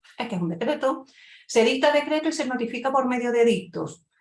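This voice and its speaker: A woman with an Andalusian accent talks at a very fast pace in an animated tone. Her high pitch swings very widely. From Andalusia, Spain. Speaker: lawyer and exam-prep teacher. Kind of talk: lecture. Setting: online event talk.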